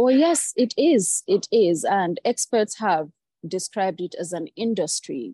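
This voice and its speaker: Recorded with a dry, close sound with no echo, a woman at medium pitch speaks at a fairly slow pace in a dark, mellow tone with very wide pitch swings. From Nigeria. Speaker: journalist. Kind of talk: interview.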